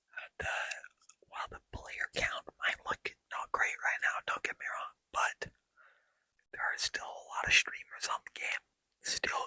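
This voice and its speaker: Whispering in a relaxed tone, a man speaks at a fairly slow pace with long, frequent pauses, the sound dry and close with no echo. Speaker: ASMR gaming content creator. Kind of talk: ASMR gameplay commentary. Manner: soft-spoken, relaxed.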